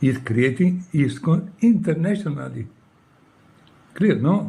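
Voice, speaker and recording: A man with an Italian accent speaks very slowly in a fairly high pitch, his dark, mellow tone carried by lively intonation. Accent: non-native English, Italian. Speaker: former monk. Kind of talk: personal appeal. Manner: emotional.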